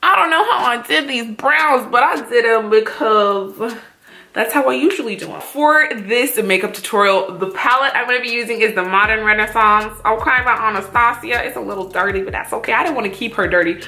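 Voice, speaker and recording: Fairly quick talk from a woman with a fairly high pitch and lively intonation, audible room echo and music in the background. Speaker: beauty vlogger. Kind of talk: makeup tutorial with casual chat. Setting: at home alone. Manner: casual, lots of filler words.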